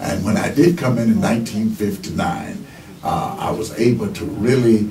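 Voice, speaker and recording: Over noticeable background noise and audible room echo, a man talks at a moderate pace with lively intonation and a medium pitch. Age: 70s. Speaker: retired pastor. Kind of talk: radio interview. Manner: halting, many fillers.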